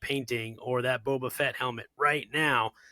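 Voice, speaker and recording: The sound is dry and close with no echo. A man speaks in a bright, sharp tone with ordinary pitch variation. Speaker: coding instructor. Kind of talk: casual interview. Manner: loud; animated.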